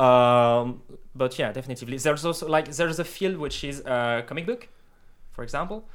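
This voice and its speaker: A man with a French accent speaks at a moderate pace, his medium pitch showing ordinary variation. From France. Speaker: 3D artist for video games. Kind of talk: casual chat. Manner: halting.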